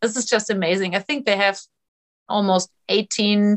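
The sound is dry and close with no echo as a woman with a German accent speaks at a medium pitch. She goes at a fairly slow pace with ordinary pitch variation. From Germany. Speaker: trail hiker and illustrator.

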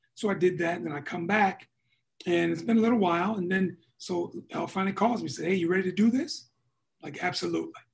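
A high-pitched man with an American accent and ordinary pitch variation, at a very fast pace. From West Michigan, Muskegon. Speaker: basketball executive and former player. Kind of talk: casual interview.

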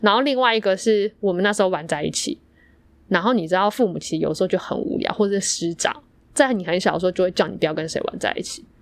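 A woman talks at a very fast pace with a medium pitch. Her intonation is lively. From Yilan, Taiwan. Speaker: podcast co-host. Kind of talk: casual chat.

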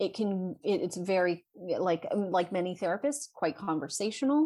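At a moderate pace, the delivery rises and falls with lively intonation. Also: woman. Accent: American. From US West Coast, California Bay Area. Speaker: licensed clinical social worker and mental health advocate. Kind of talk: casual interview conversation.

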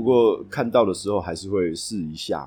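A man with a Taiwanese accent, fairly low in pitch and dark, mellow in tone, at a fairly slow pace with ordinary pitch variation, on a very clean recording with a silent background. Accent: Taiwanese Mandarin. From Taipei, Taiwan. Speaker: café owner and moving company worker. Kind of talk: casual interview. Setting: on location in a café.

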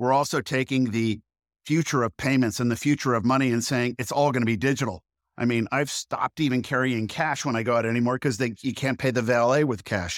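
On a very clean recording with a silent background and a dry, close sound with no echo, a man of medium pitch speaks at a fairly quick pace with fairly even intonation and very even loudness. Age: 50s. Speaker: entrepreneur and CEO. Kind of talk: interview. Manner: halting.

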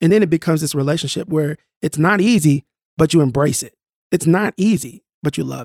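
Dry and close with no echo, a man with an American accent speaks in a plain, everyday voice at a fairly high pitch and a fairly quick pace, with ordinary pitch variation. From North Tulsa, Oklahoma, US. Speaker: mentor trainer. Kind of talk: casual interview.

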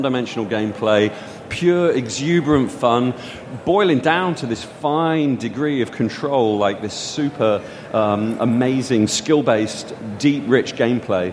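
A man's medium-pitched voice, fairly slow, with ordinary pitch variation and noticeable background noise. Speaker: game designer. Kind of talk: casual interview. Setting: live recording at a games conference. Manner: animated.

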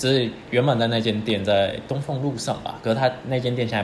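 Noticeable background noise runs under the speech, with audible room echo. The intonation stays fairly even. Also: man. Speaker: podcast co-host. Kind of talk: casual chat.

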